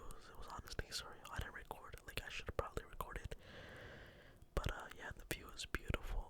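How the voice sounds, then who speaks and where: The voice is a whisper. Background noise is noticeable throughout. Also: man. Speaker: ASMR content creator. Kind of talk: casual whisper ramble to camera. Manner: whispered.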